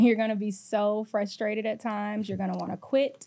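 Dark, mellow woman's voice with fairly even intonation at a moderate pace. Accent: American. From US South, Atlanta, Georgia. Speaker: content creator and singer. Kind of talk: casual interview chat.

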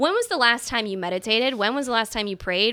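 In a very clean recording with a silent background, a woman with an American accent talks at a very fast pace, her fairly high voice bright and sharp with ordinary pitch variation. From US Midwest, Chicago. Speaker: sports marketing executive. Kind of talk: interview conversation.

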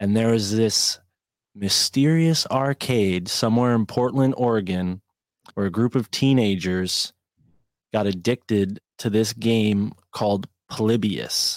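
A man with a plain, everyday voice talks at a fairly slow pace, his pitch medium with ordinary pitch variation and very even loudness. The recording is very clean, with a silent background and a dry, close sound with no echo. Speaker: podcast host. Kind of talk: casual chat.

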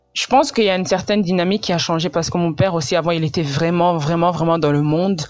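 The speech runs at a very fast pace with hardly any pauses and ordinary pitch variation. Music plays in the background. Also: woman, fairly low pitch for a woman. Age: 20s. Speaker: pastor's daughter, churchgoer. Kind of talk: testimony.

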